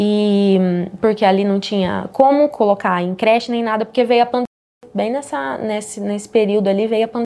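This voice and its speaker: A woman with a dark, mellow tone talks at a moderate pace, her pitch varying in an ordinary way. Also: fairly high pitch for a woman. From Paraná, Brazil (Altônia, interior). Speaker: digital marketing entrepreneur. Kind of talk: casual interview.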